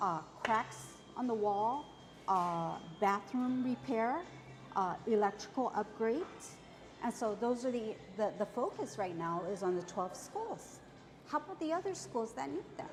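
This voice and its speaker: Music plays in the background as a woman with a fairly high pitch speaks at a fairly slow pace. Her intonation is lively, broken by long, frequent pauses. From Okinawa, Japan. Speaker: school superintendent candidate, educator. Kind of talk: interview.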